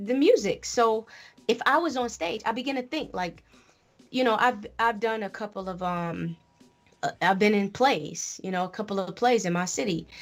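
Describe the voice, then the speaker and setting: A woman in an ordinary speaking voice talks at a moderate pace with fairly high pitch and lively intonation, on a very clean recording with a silent background. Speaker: rapper and poet. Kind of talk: casual interview chat. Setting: live radio show studio.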